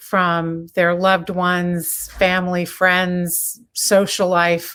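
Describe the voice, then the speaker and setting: The woman's voice sits at a medium pitch. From Florida (Miami, then Orlando). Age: 60s. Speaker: real estate broker. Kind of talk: interview. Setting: video call.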